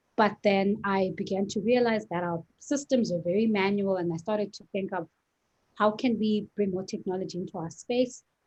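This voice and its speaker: Somewhat breathy and pitched in the middle of the female range, a woman speaks at a moderate pace with fairly even intonation in an American accent. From South Africa. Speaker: lawyer and startup co-founder. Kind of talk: interview.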